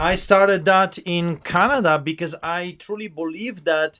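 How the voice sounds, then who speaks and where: Bright and sharp in tone, a man with a Polish accent speaks at a high pitch and a moderate pace, with ordinary pitch variation. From Poland. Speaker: pastor. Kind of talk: interview.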